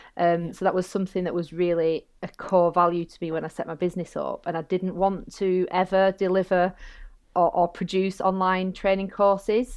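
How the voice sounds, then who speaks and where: A woman with a Lancashire accent talks at a moderate pace in a monotone, flat intonation. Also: medium pitch for a woman. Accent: northern English (Bolton). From northern England. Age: 40s. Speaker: barrister and safeguarding consultant. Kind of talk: casual interview chat.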